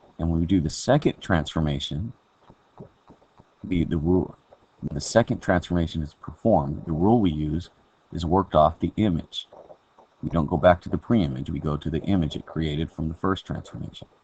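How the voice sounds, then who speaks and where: Very deep and low in pitch, a man's dark, mellow voice comes through with long, frequent pauses. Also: ordinary pitch variation, fairly quick pace. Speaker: math teacher. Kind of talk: recorded video lesson.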